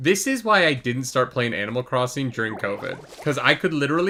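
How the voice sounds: The natural reading voice has lively intonation throughout.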